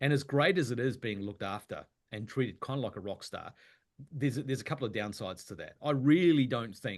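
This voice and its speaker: A man at a fairly quick pace, ordinary pitch variation, quiet background. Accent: New Zealand. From New Zealand, Wellington. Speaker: actor. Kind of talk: casual interview chat.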